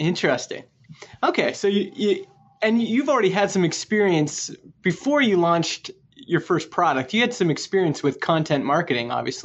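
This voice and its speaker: Speaking at a moderate pace, a man with a high voice for a man swings very widely in pitch. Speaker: podcast host. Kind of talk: interview. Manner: polished presenter.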